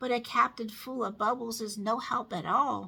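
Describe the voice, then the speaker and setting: A raspy put-on character voice moves at a moderate pace with fairly even intonation. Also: woman. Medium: read story. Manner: breezy, self-assured.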